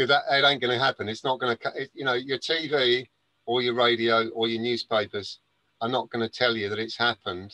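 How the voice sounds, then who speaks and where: A man speaks with a bright, sharp tone and an English accent. His pace is fairly quick and his intonation fairly even. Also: medium pitch for a man, dry, close sound with no echo. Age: 60s. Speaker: gardener and spiritual speaker. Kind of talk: interview. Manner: halting, many fillers and restarts.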